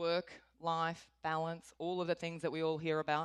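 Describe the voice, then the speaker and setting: In a very clean recording with a silent background and a dry, close sound with no echo, a woman with an Australian accent talks at a moderate pace. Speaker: corporate executive. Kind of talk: conference talk.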